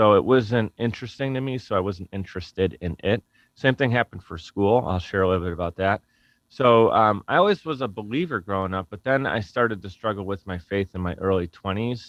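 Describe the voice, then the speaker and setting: Speaking at a fairly quick pace, a man with a Buffalo accent uses a fairly low pitch. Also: ordinary pitch variation. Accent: Western New York (Buffalo) American. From US, Buffalo, New York. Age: 30s. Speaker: podcast company founder. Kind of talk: interview conversation. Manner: casual, halting with self-corrections.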